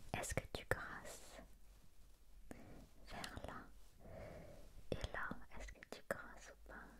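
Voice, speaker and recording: A woman is whispering. Her pace is very slow. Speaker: ASMR creator. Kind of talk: soft-spoken roleplay. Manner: soft, hushed questioning voice. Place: home room. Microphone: studio mic.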